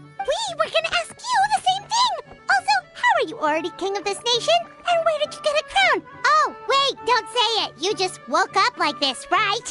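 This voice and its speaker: Over clear music in the background, someone uses a put-on character voice at an extremely high pitch and a moderate pace. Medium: machinima.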